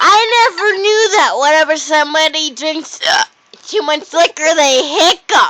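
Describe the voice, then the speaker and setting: A woman speaks very slowly at an extremely high pitch. Her voice is raised and projected. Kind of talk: casual drunk chat to camera. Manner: slurred, rambling.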